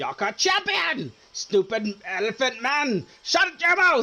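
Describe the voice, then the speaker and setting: Putting on a character voice, a man projects loudly in a shrill, extremely high register, talking fairly slowly with very wide swings in pitch. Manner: shrieking, angry.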